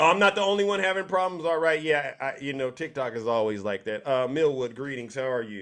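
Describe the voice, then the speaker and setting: With hardly any pauses, a man with a fairly high pitch talks in an animated tone with lively intonation over a quiet background. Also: fairly quick pace. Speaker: live-stream host. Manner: boastful, punchy, showman. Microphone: studio mic.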